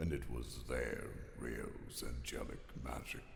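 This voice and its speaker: A man uses a put-on character voice at a very slow pace. There is clear echo and clear background noise. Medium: audio drama. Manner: dry, deflecting.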